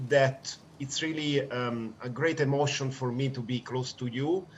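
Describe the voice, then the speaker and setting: A man talks very slowly, his medium pitch showing ordinary variation. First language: English (speaking Spanish). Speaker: law professor and NGO leader. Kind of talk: memorial tribute speech.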